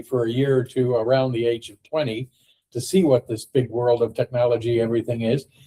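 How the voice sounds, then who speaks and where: Speaking in an American accent, a man with a medium pitch has a dark, mellow tone that is somewhat breathy. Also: dry, close sound with no echo. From US, Ohio. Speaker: podcast host. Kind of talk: casual discussion. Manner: halting, many fillers.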